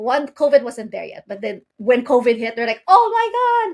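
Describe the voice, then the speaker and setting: This is a woman speaking. Her pitch varies an ordinary amount. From outside the US. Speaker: company founder and CEO. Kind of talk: podcast interview.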